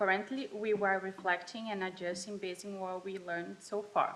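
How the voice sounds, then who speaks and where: A woman speaks with a Portuguese accent at medium pitch. Her pace is moderate and her intonation is monotone and flat. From Brazil. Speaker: college student. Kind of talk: student presentation. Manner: halting, self-correcting.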